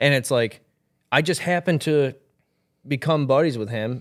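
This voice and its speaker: Using ordinary pitch variation, a man with an American accent speaks at a moderate pace. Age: 20s. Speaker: country singer. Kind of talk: interview.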